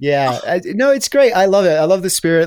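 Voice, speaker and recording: A man with an American accent talks at a fairly quick pace with lively intonation. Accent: mid-Atlantic, between British and American. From Brighton, England. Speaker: travel writer and podcast host. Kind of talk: casual interview chat, storytelling.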